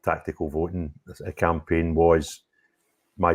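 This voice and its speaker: A Scottish accent, dry and close with no echo, on a very clean recording with a silent background. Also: man. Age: 50s. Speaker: political YouTuber. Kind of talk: interview. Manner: loud.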